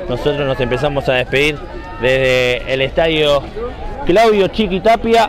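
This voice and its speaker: A man with a Rioplatense accent speaks at a fairly high pitch, with long, frequent pauses. The sound is dry with no echo, and crowd noise fills the background. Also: lively intonation, fairly slow pace. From Argentina. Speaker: sports youtuber interviewing fans. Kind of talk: street interviews with fans; vox pop interview and commentary. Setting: outdoors at a football stadium after a match. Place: street. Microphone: handheld.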